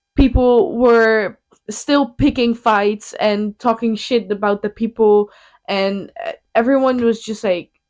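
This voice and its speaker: A very slow woman's voice, fairly high in pitch, with a Dutch accent, ordinary pitch variation and a dry, close sound with no echo. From Netherlands. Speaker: podcast co-host. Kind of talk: casual chat. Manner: animated.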